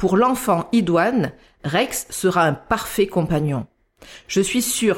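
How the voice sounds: A natural reading voice with lively intonation comes over a quiet background.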